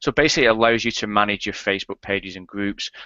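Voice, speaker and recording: With a British accent, a man speaks at a fairly low pitch. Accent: UK. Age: 30s. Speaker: affiliate marketer, product creator. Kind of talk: interview. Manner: straight-talking, plain.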